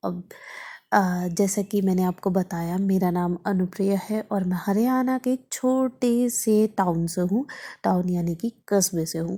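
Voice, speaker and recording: A woman speaks at a medium pitch. Her tone is dark, mellow and somewhat breathy. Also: ordinary pitch variation. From Haryana, India (near Ambala). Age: 30s. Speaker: vlogger and podcast host. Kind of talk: casual monologue podcast.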